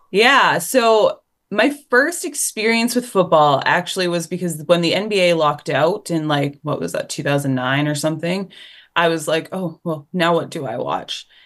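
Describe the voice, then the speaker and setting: Speaking at a moderate pace, a woman has a fairly low-pitched voice. She talks with a Western Canadian accent. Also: lively intonation. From Canada, rural Alberta. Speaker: football coach. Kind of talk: casual interview.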